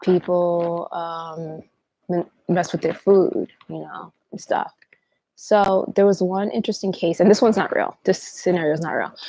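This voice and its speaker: Her voice carries a dark, mellow tone. The woman's pitch is fairly low and her intonation fairly even. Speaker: livestream host. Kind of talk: livestream talk. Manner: fast.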